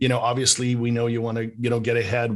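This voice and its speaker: A man speaks at a medium pitch with a slight Canadian accent. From Canada, Vancouver. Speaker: business coach. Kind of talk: interview.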